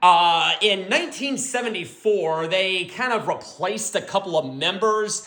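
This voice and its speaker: A man speaks at a high pitch in a raised, projected voice. His tone is animated, his intonation lively, and his pace fairly slow. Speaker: music album reviewer. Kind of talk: album review monologue. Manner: loud at times.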